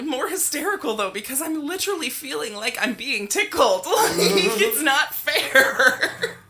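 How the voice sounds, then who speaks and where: Noticeable background noise beneath fairly slow speech. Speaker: podcast co-host. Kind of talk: casual chat.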